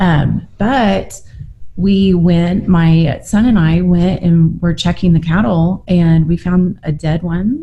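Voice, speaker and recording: A woman's fairly low, dark, mellow voice, somewhat breathy, with a Southern Plains US accent and ordinary pitch variation. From Oklahoma panhandle. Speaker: rancher. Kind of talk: casual chat. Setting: podcast interview.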